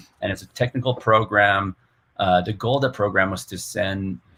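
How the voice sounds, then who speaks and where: A man with a Quebec accent talks at a moderate pace and fairly low pitch with ordinary pitch variation. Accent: Québécois French-accented English. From Quebec City, Canada. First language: French. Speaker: software developer, data tool creator. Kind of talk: interview. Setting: live-streamed podcast recording.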